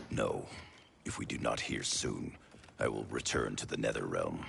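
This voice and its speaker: A man's raspy, stern put-on character voice at a moderate pace, with audible echo. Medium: video game. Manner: stern, terse.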